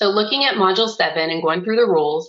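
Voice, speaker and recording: Using a plain, everyday voice, a woman speaks at a medium pitch with ordinary pitch variation. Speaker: oncology coding educator, webinar presenter. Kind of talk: webinar lecture.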